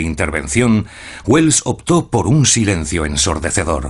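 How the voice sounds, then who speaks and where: Speaking at a moderate pace, a man with a fairly low pitch lets his voice swing very widely up and down. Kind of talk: documentary narration.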